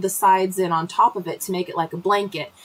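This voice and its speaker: Noticeable background noise runs under this recording. A woman speaks at a medium pitch. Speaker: homesteading livestream host. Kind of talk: casual live chat. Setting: livestream from the cabin. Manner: fast.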